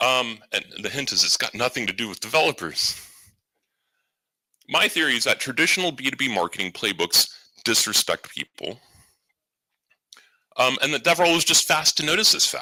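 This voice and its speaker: A man with vocal fry and a medium pitch talks with very wide pitch swings and long, frequent pauses, recorded with a dry, close sound that has no echo. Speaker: conference keynote speaker, head of marketing. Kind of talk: conference talk. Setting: stage with audience. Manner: fast.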